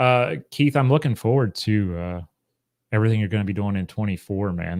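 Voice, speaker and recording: With an American accent, a man in a plain, everyday voice talks fairly quickly at a fairly low pitch. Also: quiet background. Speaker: history YouTuber and university educator. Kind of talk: casual chat. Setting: livestream on Facebook and YouTube.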